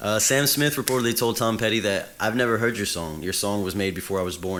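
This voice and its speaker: Over noticeable background noise, a man talks very fast at a fairly low pitch with ordinary pitch variation. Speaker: music YouTuber and songwriter. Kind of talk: casual video commentary. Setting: talking on camera. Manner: halting, stumbling over words.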